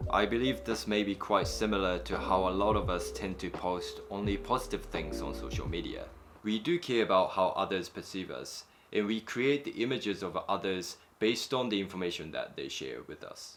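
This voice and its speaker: Music playing in the background behind a man talking at a moderate pace. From Japan. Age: 20s. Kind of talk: personal reflective vlog narration.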